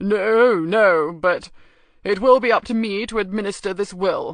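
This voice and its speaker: Pitched fairly high, this female-sounding put-on character voice goes along at a moderate pace. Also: quiet background. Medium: read story.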